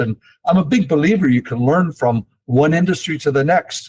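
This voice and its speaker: A man speaks at a moderate pace with ordinary pitch variation and a somewhat breathy voice. The sound is dry and close, with no echo. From eastern Canada, Toronto. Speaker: investment company executive. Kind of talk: interview. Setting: podcast.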